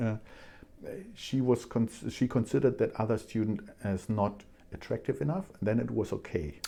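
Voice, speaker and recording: A man with a German accent speaks at a medium pitch and a moderate pace, his dark, mellow tone marked by vocal fry and lively intonation, with long, frequent pauses. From Germany. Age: 60s. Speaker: scientist and language student. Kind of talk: casual interview. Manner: halting.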